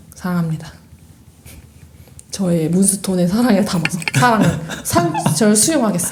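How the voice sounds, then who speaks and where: A woman at medium pitch with ordinary pitch variation and long, frequent pauses, amid noticeable background noise and audible room echo. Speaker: podcast co-host. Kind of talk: casual chat. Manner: fast when excited.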